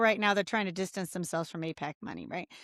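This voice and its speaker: In a Midwestern American accent, an animated voice with a bright, sharp tone comes through on a very clean recording with a silent background. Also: woman, dry, close sound with no echo. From Indiana, rural. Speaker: congressional candidate. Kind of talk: casual interview.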